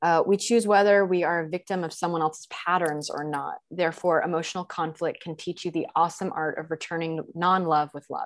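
A woman with an American accent and a fairly low pitch talks fairly quickly in a plain, everyday voice, with fairly even intonation and hardly any pauses. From Texas. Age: 20s. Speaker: feminine embodiment coach. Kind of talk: casual interview.

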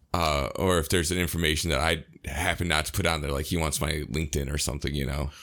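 In a General American accent, the speaker goes at a very fast pace with hardly any pauses and some vocal fry. The recording is very clean, with a silent background. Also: man, very deep, low pitch for a man, fairly even intonation. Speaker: podcast co-host. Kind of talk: casual chat.

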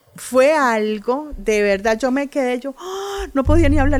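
This woman has lively intonation and a fairly slow pace, heard through noticeable background noise. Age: 50s. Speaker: oral storyteller and writer. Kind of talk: interview. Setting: book fair.

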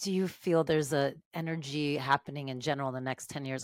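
A woman's very fast speech at a very deep, low pitch, with a dry, close sound and no echo. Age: 40s. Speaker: podcast host and meditation teacher. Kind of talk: casual interview; podcast intro. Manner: animated.

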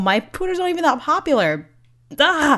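A normal speaking voice moves at a fairly quick pace with lively intonation. The background is quiet. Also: woman. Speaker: podcaster. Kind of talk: testimony.

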